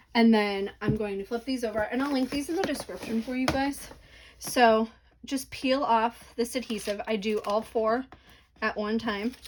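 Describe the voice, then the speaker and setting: A woman speaks in an ordinary speaking voice, with a fairly high pitch, ordinary pitch variation and a moderate pace. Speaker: crafting tutorial creator. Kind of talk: tutorial. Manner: casual, filler words.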